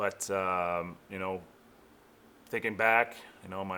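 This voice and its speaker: Heard on a very clean recording with a silent background, a man talks in a bright, sharp tone with fairly even intonation. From Quebec, Canada. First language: French. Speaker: pro football player. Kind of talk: press conference interview. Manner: halting.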